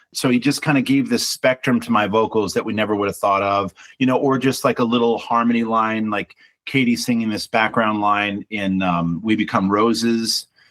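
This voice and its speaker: A man uses a plain, everyday voice at medium pitch and a moderate pace. His intonation is fairly even, and the sound is dry and close with no echo. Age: 50s. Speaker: singer-songwriter and band frontman. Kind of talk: interview.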